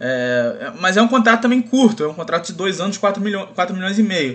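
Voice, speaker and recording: A man projects a raised voice at a high pitch. His tone is bright and sharp. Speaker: podcast co-host. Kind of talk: casual chat.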